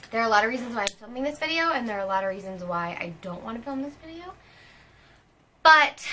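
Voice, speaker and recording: Using a raised, projected voice with a bright, sharp tone, a woman talks at a very fast pace with very wide pitch swings. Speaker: fitness coach and vlogger. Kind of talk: personal vlog.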